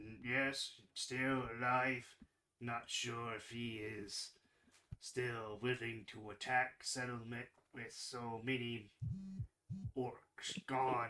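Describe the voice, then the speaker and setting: A man's put-on character voice at medium pitch, very slow pace, long, frequent pauses. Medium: actual play. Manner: broken, clipped speech with hums.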